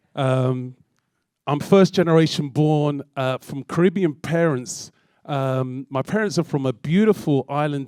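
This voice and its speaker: A man with a London accent speaks at a fairly high pitch in a dark, mellow tone, with ordinary pitch variation. The recording is very clean with a silent background, and the sound is dry and close with no echo. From London, England. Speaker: DJ and music producer. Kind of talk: public talk. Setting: stage with audience.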